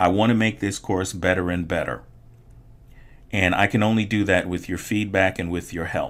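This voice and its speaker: A man's normal speaking voice, fairly low in pitch, at a moderate pace with fairly even intonation. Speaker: online art instructor. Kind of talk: course introduction.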